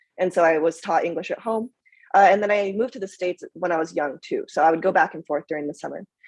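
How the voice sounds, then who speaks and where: A woman at medium pitch, very fast pace and big swings in loudness, in a dry, close sound with no echo. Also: ordinary pitch variation. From Tokyo, Japan and Minnesota, US Midwest. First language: Japanese. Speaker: startup founder and former acrobat. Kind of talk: panel discussion.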